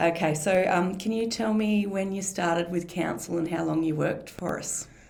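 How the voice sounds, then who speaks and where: A woman's fairly low voice with an Australian accent, fairly even intonation and a moderate pace, over noticeable background noise. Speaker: council communications officer. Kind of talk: podcast interview host.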